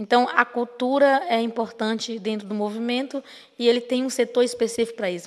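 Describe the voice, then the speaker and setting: Against a quiet background, a woman speaks fairly quickly at a high pitch with fairly even intonation. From Brazil, Maranhão. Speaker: activist; speaker. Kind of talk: lecture. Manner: halting. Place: hall. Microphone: podium.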